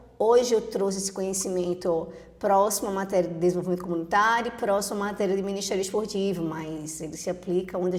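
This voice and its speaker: A woman with a Recife accent speaks at a fairly quick pace and medium pitch. Her intonation is fairly even, and there is noticeable background noise. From Brazil, Recife (Pernambuco). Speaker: teacher and behavioral profile consultant. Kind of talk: podcast interview.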